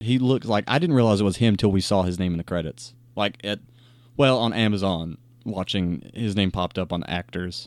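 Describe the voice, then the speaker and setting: At a fairly quick pace, a man talks in a normal speaking voice, fairly low in pitch with ordinary pitch variation. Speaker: podcast host. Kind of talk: casual chat.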